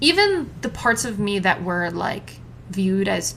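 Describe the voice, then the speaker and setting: A woman's medium-pitched voice is heard with noticeable background noise behind it. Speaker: solo podcaster. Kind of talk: casual monologue. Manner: loud; talkative, rambling with side notes.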